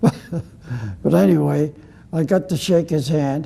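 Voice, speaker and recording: Very slowly and with lively intonation, a man with an American accent speaks in a somewhat breathy, dark, mellow voice at a fairly high pitch. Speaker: WWII Navy veteran. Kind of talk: interview answer.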